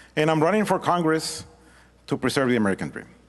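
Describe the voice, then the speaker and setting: Speaking with a Mexican accent, a man moves through very wide pitch swings. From Mexico. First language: Spanish. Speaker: congressional candidate. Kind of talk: debate opening statement. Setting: public forum with audience.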